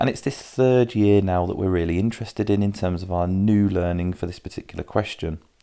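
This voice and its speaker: In a British accent, a man speaks at a fairly low pitch with a dark, mellow tone and ordinary pitch variation on a very clean recording with a silent background. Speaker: maths tutor. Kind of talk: tutorial. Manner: fast.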